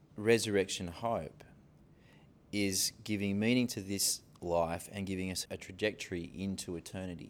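Pausing long and often, a man talks at a fairly slow pace in a fairly low voice, with ordinary pitch variation and big swings in loudness. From Sydney, Australia. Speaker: pastor. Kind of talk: interview talk. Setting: stage with live audience. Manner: hesitant, filler-heavy.

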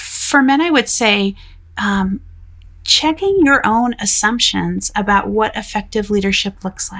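A woman's medium-pitched voice with an American accent, lively intonation and a moderate pace over noticeable background noise. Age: 40s. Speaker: faith and work author. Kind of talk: interview.

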